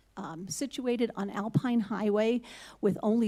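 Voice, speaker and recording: A dark, mellow tone carries through at a fairly slow pace. Pitch varies in an ordinary way. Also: woman. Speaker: public commenter, resident. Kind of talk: public comment at meeting. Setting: city hall meeting.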